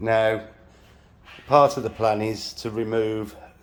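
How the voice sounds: The man has a fairly low pitch and a slightly mellow tone.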